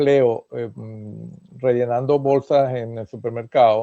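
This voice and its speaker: Medium-pitched male speech with fairly even intonation. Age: 60s. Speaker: immigrant sharing experience. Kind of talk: casual interview chat. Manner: halting, many fillers.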